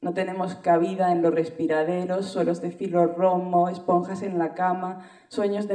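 A woman speaks at a moderate pace in a flat, monotone delivery, with audible room echo over a quiet background. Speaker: spoken word poet. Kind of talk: spoken word poetry performance.

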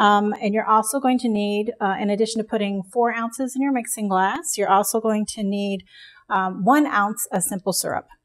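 A woman talks at a moderate pace with fairly even intonation. The background is quiet. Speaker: cocktail instructor. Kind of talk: tutorial. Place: home room.

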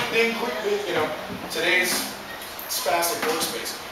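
Loud background noise and audible room echo surround a voice with ordinary pitch variation. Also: man. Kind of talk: informal speech to an audience. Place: stage. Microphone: camera far.

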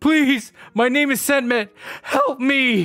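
A man performs a put-on character voice at an extremely high pitch. He speaks at a fairly slow pace. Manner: pleading.

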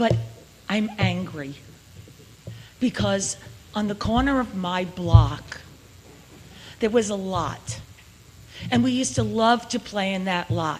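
A woman with a Long Island accent talks at a very slow pace and medium pitch, with very wide pitch swings, long, frequent pauses and noticeable background noise. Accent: New York (Long Island). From Long Beach, New York. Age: 70s. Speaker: resident speaking at public comment. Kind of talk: public comment.

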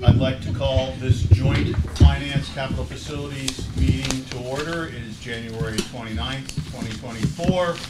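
A man talks fairly slowly against loud background noise. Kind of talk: meeting chairing remarks. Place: meeting room. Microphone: podium.

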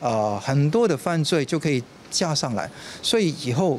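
A man with an unremarkable speaking voice talks at a moderate pace in a fairly high pitch over light background noise. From Hong Kong. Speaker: political commentator. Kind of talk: interview soundbite. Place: street.

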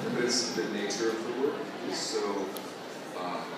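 Loud background noise runs under the speech, and there is audible room echo. The pace is fairly slow. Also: man. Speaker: actor. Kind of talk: panel Q&A answer. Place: hall.

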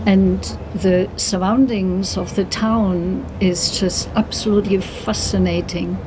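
Noticeable background noise sits under the recording. A woman speaks very slowly with a German accent. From Germany, later long in southwest England. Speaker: traveller. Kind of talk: interview. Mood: warm, enthusiastic. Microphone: phone near.

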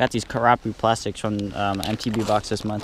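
A man in a flat monotone, a dry sound with no echo, noticeable background noise. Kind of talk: casual vlog chat. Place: open country. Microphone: phone near.

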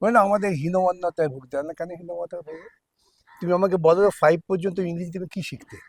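The man's high voice shows big swings in loudness and fairly even intonation, recorded dry and close with no echo. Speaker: lawyer and communist politician. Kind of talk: interview.

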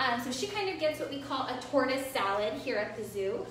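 Female voice in a room with audible echo, light noise behind it. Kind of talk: educational commentary. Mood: warm, relaxed. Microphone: phone near.

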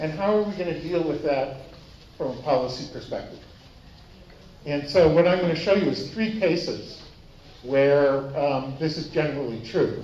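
A man with an American accent and a fairly high pitch speaks at a moderate pace with ordinary pitch variation and long, frequent pauses. Light background noise and audible room echo are present. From United States. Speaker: economics professor. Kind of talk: conference lecture. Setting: stage with audience. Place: meeting room.

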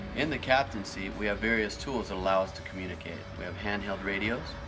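A man talks at a very fast pace in a fairly low pitch. Clear music plays in the background. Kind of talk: tutorial. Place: garage. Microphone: phone near.

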